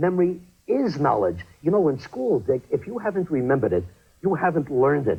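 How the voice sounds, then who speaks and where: A man talks at a fairly quick pace and fairly high pitch, with vocal fry and lively intonation. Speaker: memory training specialist. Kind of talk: infomercial interview answer.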